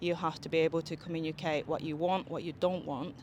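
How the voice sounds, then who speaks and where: A woman with a Japanese accent. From Okinawa, Japan. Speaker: interviewee, Japanese expat. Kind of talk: street interview.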